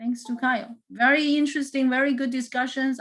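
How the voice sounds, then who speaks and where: This woman speaks with a non-native accent. Her voice is high-pitched, with a bright, sharp tone. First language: not English. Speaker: math instructor. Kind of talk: lecture. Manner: halting, many fillers and repeats.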